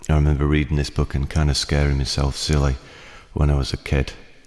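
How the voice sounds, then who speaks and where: At a moderate pace, the talking continues over noticeable background noise. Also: man. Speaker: radio presenter reading stories. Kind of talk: casual spoken introduction.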